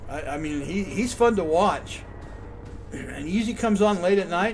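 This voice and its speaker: Over noticeable background noise and audible room echo, a man speaks at a moderate pace in a high pitch with lively intonation. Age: 60s. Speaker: video game streamer. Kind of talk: live gameplay commentary. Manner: casual, chatty.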